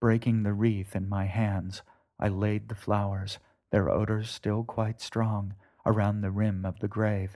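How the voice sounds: The background stays quiet. Someone reads in a natural reading voice.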